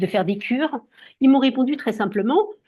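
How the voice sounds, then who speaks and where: A woman's somewhat breathy voice, fairly quick and lively in intonation. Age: 60s. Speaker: skincare brand distributor. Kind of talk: sales pitch. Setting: video call.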